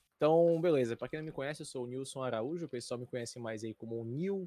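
A man with an unremarkable speaking voice talks at a medium pitch with ordinary pitch variation, in a dry, close sound with no echo. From Fortaleza, Ceará, Brazil. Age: 20s. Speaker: esports tournament commentator. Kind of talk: casual chat.

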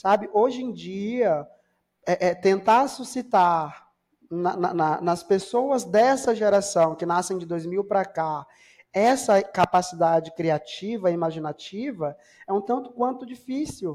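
With ordinary pitch variation, a man speaks at a high pitch and a fairly slow pace. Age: 30s. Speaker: podcast co-host discussing psychoanalysis. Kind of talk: casual chat.

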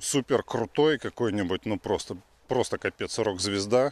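Over a quiet background, a man with an unremarkable speaking voice talks at a fairly slow pace. His pitch varies in an ordinary way, and the sound is dry and close with no echo. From Russia. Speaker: podcast host. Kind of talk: casual chat. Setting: outdoors.

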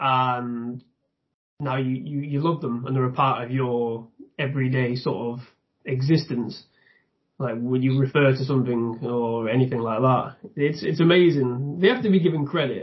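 A man with a medium pitch and a somewhat breathy voice talks at a moderate pace with ordinary pitch variation. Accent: northern English. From northern England. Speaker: YouTube reviewer. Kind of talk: casual chat.

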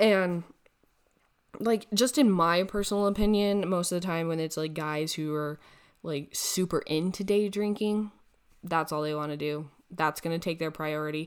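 On a very clean recording with a silent background, a woman with an unremarkable speaking voice talks at a moderate pace. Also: fairly low pitch for a woman, ordinary pitch variation. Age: 20s. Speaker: podcast host. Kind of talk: casual monologue. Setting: recording alone at a computer. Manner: casual with frequent fillers.

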